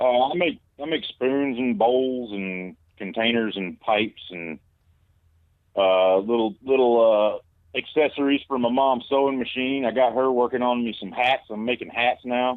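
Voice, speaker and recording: Speaking with a Southern US accent, a man talks at a fairly slow pace with ordinary pitch variation. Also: medium pitch for a man. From US South. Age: 30s. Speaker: caller. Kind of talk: casual chat. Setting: phone call.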